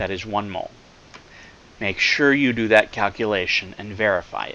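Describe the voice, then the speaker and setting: There is noticeable background noise behind this man. His fairly low voice shows big swings in loudness. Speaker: chemistry professor. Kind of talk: lecture. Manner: slow, deliberate.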